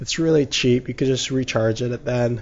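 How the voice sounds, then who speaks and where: A somewhat breathy man talks at a moderate pace with fairly even intonation. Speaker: gaming YouTuber. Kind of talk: gaming commentary. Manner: stuttering; casual, halting with fillers.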